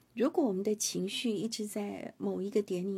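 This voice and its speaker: At a moderate pace, a woman is talking. The recording is very clean, and the background is silent. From Taiwan. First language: Hakka (speaking Chinese). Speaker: radio host. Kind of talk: interview.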